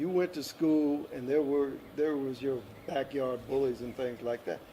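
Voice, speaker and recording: A man's fairly high voice with fairly even intonation at a moderate pace, amid noticeable background noise. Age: 70s. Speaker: interviewee sharing life experience. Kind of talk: interview.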